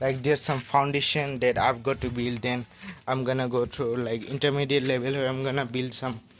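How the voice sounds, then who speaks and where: Medium-pitched speech from a man at a moderate pace amid clearly audible background noise. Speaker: vlogger working on speaking skills. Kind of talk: casual video diary monologue. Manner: halting, many filler words.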